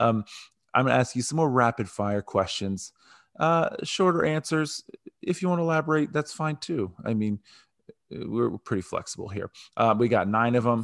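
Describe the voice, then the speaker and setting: Recorded dry and close with no echo against a quiet background, a man with an American accent talks at a moderate pace at a medium pitch. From US North. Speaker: podcast host. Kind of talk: casual interview. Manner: casual, chatty.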